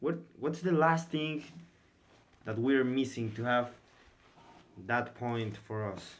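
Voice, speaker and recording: A man's very slow delivery at a medium pitch, with ordinary pitch variation and long, frequent pauses. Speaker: esports stream commentator. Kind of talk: live game commentary.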